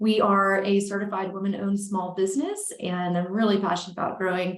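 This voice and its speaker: There is audible room echo around a woman's somewhat breathy, medium-pitched voice. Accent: slight Southern US. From Alabama. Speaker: consulting firm owner, organizational psychologist. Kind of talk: podcast interview.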